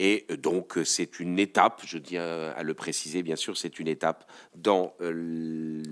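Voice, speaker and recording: The man speaks with a very deep, low pitch. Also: very clean recording, silent background. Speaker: political scientist. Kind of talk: conference talk. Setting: conference with audience. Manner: halting.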